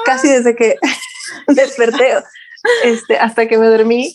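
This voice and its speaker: This woman's fairly high voice moves at a fairly slow pace. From Mexico, Guadalajara. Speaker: women's mentor and fertility professional. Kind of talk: interview testimony. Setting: video call.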